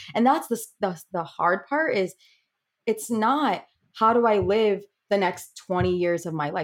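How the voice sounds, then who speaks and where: Using an ordinary speaking voice, a woman with an American accent talks at a fairly slow pace, her medium pitch carried by lively intonation. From Connecticut. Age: 30s. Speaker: psychology professor and breast cancer survivor. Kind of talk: interview.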